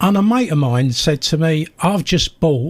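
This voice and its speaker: A man's somewhat breathy voice at a moderate pace, with lively intonation. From South London. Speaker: retired teacher and campaigner. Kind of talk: radio interview. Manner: animated.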